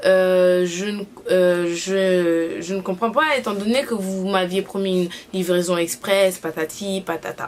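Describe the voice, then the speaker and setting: A woman speaks at a medium pitch with ordinary variation in her pitch. She talks very slowly over noticeable background noise. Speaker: YouTuber. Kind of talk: casual vlog review. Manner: hesitant, many fillers.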